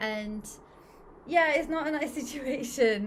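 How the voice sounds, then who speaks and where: At a moderate pace, the speaker talks in a Portuguese accent with a somewhat breathy sound and ordinary pitch variation. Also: woman. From Brazil. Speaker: English teacher. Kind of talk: casual chat.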